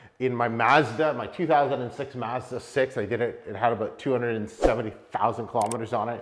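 The speech moves at a moderate pace. Its intonation stays fairly even. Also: man. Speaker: car vlogger. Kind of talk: casual vlog chat. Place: garage.

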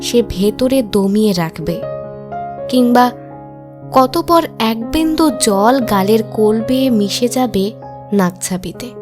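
Over music in the background, a woman speaks with lively intonation at a fairly high pitch. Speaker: voice-over artist. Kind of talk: emotional monologue narration.

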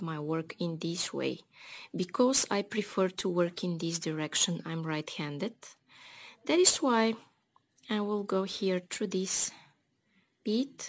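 A woman at a fairly slow pace with long, frequent pauses. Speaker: beading tutorial creator. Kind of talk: tutorial. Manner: friendly, enthusiastic. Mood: calm, friendly. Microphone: phone near.

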